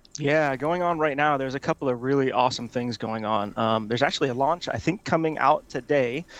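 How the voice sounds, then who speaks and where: With a normal speaking voice at a medium pitch, a man talks at a fairly quick pace with ordinary pitch variation and hardly any pauses. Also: quiet background. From Hawaii, US. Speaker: tech executive. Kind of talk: interview.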